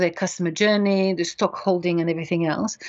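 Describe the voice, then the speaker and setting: Her French accent is clear as this woman speaks with ordinary pitch variation. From France. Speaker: beauty industry consultant. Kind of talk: interview.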